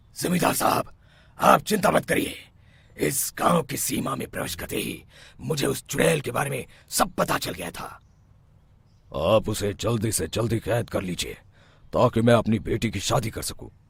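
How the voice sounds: A man puts on a cartoonish character voice at medium pitch. He leaves long, frequent pauses. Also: moderate pace.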